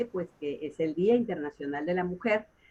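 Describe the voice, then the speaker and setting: A woman speaks in an ordinary speaking voice at a medium pitch. Her pace is moderate and her intonation lively. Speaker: radio host. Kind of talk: radio interview talk.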